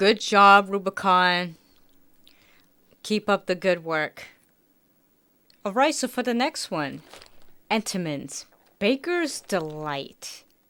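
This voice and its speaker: Recorded very cleanly against a silent background, a woman with a bright, sharp tone and lively intonation speaks at a very slow pace, with long, frequent pauses. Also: medium pitch for a woman. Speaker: food taste-test youtuber. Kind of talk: casual taste-test vlog. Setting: at home. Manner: quieter, trying not to make noise.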